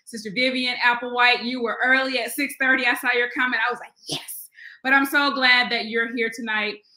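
Over a quiet background with audible room echo, a woman speaks at a moderate pace in a high pitch with a bright, sharp tone. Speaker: Sunday school teacher. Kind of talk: livestream Bible study talk. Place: home room. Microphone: webcam.

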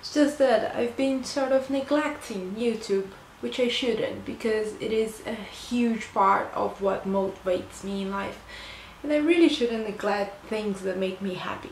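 A woman's fairly high voice in a Portuguese accent at a moderate pace with ordinary pitch variation, plus audible room echo and light background noise. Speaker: book reviewer. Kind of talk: book review vlog. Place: home room. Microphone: phone near.

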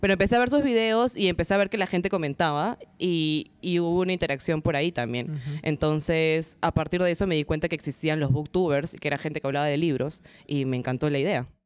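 Very deep and low in pitch, a woman rushes along at a very fast pace with ordinary pitch variation and hardly any pauses, on a very clean recording with a silent background. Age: 20s. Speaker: booktuber and TV presenter. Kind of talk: interview before a live audience. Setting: event space with live audience.

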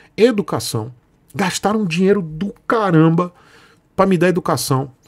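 A man talks against a quiet background. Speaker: motorcycle youtuber. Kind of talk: casual vlog chat. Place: home room.

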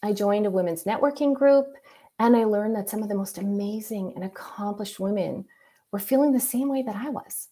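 Her voice has a dark, mellow tone, and this woman uses ordinary pitch variation. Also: quiet background. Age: 40s. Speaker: user experience architect; presenter. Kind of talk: presentation. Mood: reflective personal story. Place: home room. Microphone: webcam.

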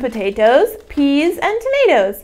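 A woman speaks at a high pitch with big pitch swings. Her pace is slow.

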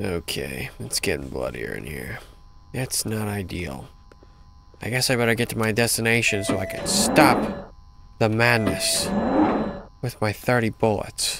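Over noticeable background noise, a man at a medium pitch swings very widely in pitch and leaves long, frequent pauses. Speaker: gaming YouTuber. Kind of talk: gameplay commentary. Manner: animated.

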